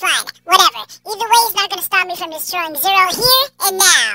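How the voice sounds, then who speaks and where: The voice sits at an extremely high pitch. It moves at a moderate pace. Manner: threatening, then grumpy.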